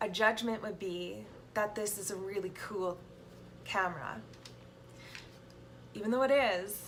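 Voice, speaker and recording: Music plays behind a woman speaking very slowly at a medium pitch. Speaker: self-help vlogger. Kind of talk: casual talk. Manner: halting, repeats words; many fillers.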